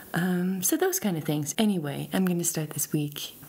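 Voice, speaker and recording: A woman speaks at a moderate pace with ordinary pitch variation. Her pitch is fairly low. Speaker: vlogger. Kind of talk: casual vlog chat. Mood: soft, warm, reflective. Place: home room. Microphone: phone near.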